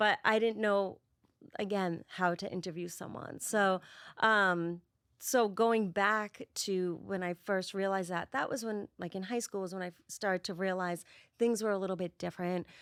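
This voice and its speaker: Speaking at a moderate pace with an even-leaning intonation, the voice comes in a Boston accent, with a dry, close sound, no echo, and a very clean recording over a silent background. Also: woman, medium pitch for a woman. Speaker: spirit medium. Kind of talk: podcast interview.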